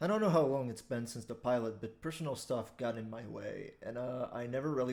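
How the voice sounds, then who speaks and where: With a Quebec accent, a man talks at a medium pitch and a fairly quick pace. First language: French. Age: 20s. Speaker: online commentator. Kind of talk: casual monologue.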